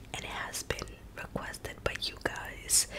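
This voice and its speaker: Whispering, a woman talks. She keeps her delivery fairly slow. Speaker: ASMR creator. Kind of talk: ASMR face-touching trigger video. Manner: soft, whispered. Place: home room.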